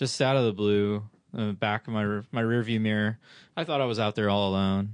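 An ordinary speaking voice talks at a moderate pace with fairly even intonation. The background is quiet. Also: man. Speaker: amateur track driver. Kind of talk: casual chat.

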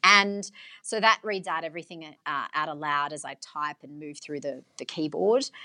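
A woman speaks with a bright, sharp tone and lively intonation. The sound is dry and close with no echo, over a quiet background. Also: big swings in loudness. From Australia, western Sydney. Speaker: radio journalist and broadcaster. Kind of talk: interview.

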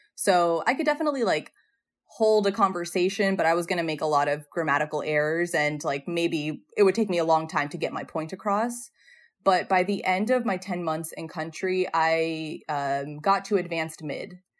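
A woman with an American accent speaks in a plain, everyday voice, fairly low in pitch with ordinary pitch variation. Her pace is moderate, and the background is quiet. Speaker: former Peace Corps health volunteer. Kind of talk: podcast interview.

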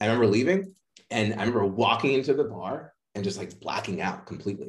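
He has a medium pitch and an American accent, with a somewhat breathy quality. His pitch swings very widely. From Boston, Massachusetts. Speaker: mindset and playfulness coach. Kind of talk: interview conversation.

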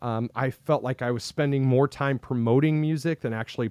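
With an American accent, a man talks at a moderate pace with ordinary pitch variation, and the sound is dry and close with no echo. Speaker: podcaster and former band musician. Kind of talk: casual interview. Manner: natural, not forced.

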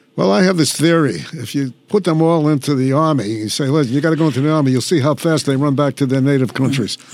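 Very fast and fairly high in pitch, a man speaks with an American accent over noticeable background noise. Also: ordinary pitch variation. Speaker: podcast host, retired police captain. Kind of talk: interview. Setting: studio.

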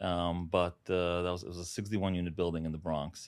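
Very deep, low man's voice with a New York accent at a fairly quick pace, on a very clean recording with a silent background. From Brooklyn, New York; born in Uzbekistan. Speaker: real estate broker. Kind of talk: interview.

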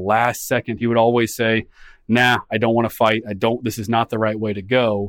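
In an American accent, a man talks at a fairly quick pace. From US Midwest, Des Moines, Iowa. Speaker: podcast host and historian. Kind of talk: interview.

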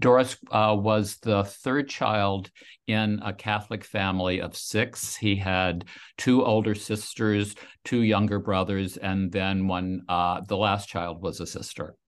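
A man with an American accent speaks in a plain, everyday voice, fairly low in pitch. His intonation stays fairly even over a quiet background. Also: fairly slow pace. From US South, Louisiana. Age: 60s. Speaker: author. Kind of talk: interview.

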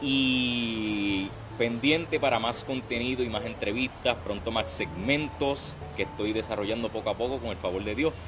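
This man speaks at a moderate pace in a Puerto Rican accent, with a medium pitch and ordinary pitch variation. Noticeable background noise runs underneath. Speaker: podcast host. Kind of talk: interview. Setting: outdoors.

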